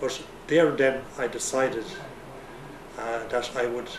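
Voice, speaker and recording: A man of medium pitch with an Irish accent and fairly even intonation, amid audible room echo and noticeable background noise. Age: 60s. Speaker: retiree. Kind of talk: testimony. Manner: halting.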